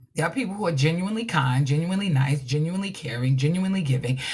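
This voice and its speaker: An animated woman with an American accent speaks in a very deep, low pitch, her intonation lively. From New York. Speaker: relationship coach. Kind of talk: livestream motivational talk. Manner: loud.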